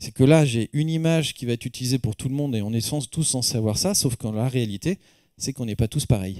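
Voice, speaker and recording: A man with a medium pitch, a dark, mellow tone and ordinary pitch variation, talking at a very fast pace against a quiet background. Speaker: professor and medical technology researcher; professor. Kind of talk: lecture. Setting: stage with audience. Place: hall. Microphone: handheld.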